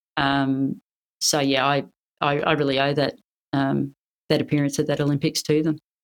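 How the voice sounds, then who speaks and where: A woman with an Australian accent talks at a moderate pace in a very deep, low pitch. Her loudness stays very even, broken by long, frequent pauses. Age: 50s. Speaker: Olympic badminton player and police officer. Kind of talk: interview. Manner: energetic.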